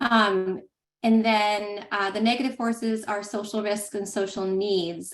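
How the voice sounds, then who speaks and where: Her intonation stays fairly even. The woman's pitch is medium. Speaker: director of a health data standards project. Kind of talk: online meeting presentation. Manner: fast.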